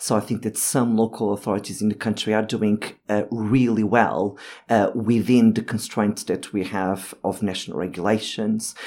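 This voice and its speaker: Someone speaks with a Portuguese accent at a moderate pace. The intonation stays fairly even. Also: man. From Portugal (Lisbon). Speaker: urban planner. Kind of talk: panel discussion. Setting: studio.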